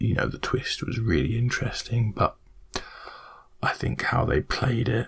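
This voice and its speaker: Soft-spoken and whispering, a man speaks at a fairly slow pace against noticeable background noise. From British. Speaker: ASMR creator. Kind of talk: ASMR rambling talk to camera. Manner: soft-spoken, whispered.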